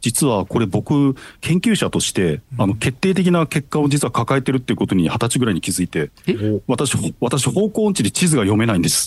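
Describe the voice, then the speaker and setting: At a fairly quick pace, a man speaks at medium pitch with vocal fry and very wide pitch swings. His loudness stays very even over a quiet background. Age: 40s. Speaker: paleontologist and researcher. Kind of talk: radio interview.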